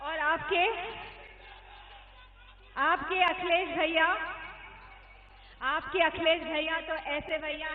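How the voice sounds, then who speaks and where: A woman speaks at an extremely high pitch in a flat monotone. She leaves long pauses, and often. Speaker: politician. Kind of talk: political rally speech. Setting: outdoor rally PA system.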